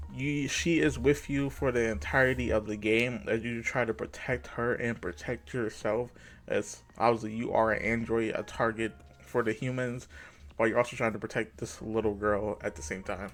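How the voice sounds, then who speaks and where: Music plays in the background as a man speaks at a moderate pace and medium pitch with ordinary pitch variation. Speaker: gaming video creator. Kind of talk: casual video commentary. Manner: filler-heavy, says like a lot.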